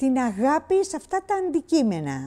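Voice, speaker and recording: On a very clean recording with a silent background, a woman speaks in a dark, mellow tone. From Greece, Syros (Cyclades). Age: 80s+. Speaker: eyewitness interviewee. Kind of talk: testimony. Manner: halting.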